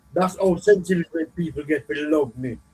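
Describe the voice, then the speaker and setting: A man speaks with a Jamaican accent at a high pitch and a moderate pace. His pitch variation is ordinary. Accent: Jamaican patois. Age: old. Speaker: dancehall videoman. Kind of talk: interview storytelling. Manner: halting.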